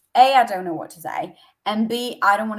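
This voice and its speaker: This woman has an unremarkable speaking voice, pitched in the medium range, and talks at a fairly quick pace with ordinary pitch variation. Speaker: social media coach. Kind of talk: live stream coaching session. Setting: Instagram live video call.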